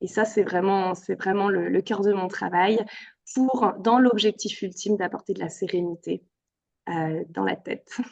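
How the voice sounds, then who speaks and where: A woman's medium-pitched voice, fairly slow and with fairly even intonation. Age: 30s. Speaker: yoga therapist. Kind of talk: interview. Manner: hesitant, many fillers.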